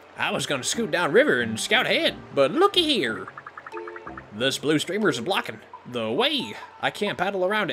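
A put-on character voice swings very widely in pitch at a moderate pace. Long, frequent pauses break it up over clear background noise. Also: man, high pitch for a man. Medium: game stream. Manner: folksy, polite, says ma'am.

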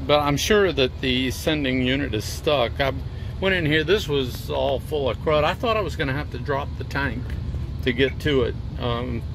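A man speaks at a moderate pace. The sound is dry with no echo, though there is noticeable background noise. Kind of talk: tutorial. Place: car. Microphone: phone near.

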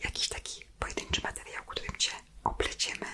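Noticeable background noise sits behind a woman who is whispering. She goes at a fairly quick pace. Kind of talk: ASMR personal attention roleplay. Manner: whispered, soft-spoken.

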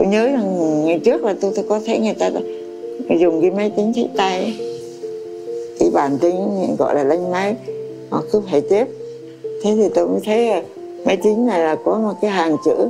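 Lively intonation marks this woman's speech, broken by long, frequent pauses. Music is clearly audible behind her. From Vietnam. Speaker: memoir author. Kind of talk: interview answer. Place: home room.

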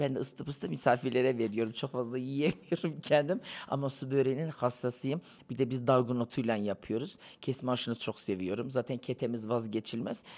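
Here a man talks at a fairly quick pace and medium pitch. His pitch varies in an ordinary way. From Turkey, Konya; Turkey. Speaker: interviewee, guest. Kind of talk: casual street interview; interview answer. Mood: playful, teasing. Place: cafe. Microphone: handheld.

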